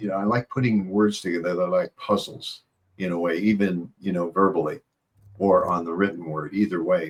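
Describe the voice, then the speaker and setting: With a very deep, low pitch, a man talks at a moderate pace and keeps his intonation fairly even. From Iowa and Southern California. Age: 70s. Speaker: psychologist and mentor. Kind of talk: interview. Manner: relaxed, with frequent hesitations.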